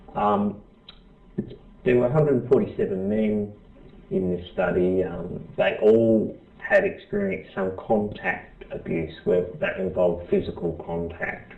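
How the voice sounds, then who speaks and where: With an Australian accent, a man speaks at a fairly slow pace. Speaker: professor. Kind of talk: lecture. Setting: presentation to small group. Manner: halting, many fillers and restarts.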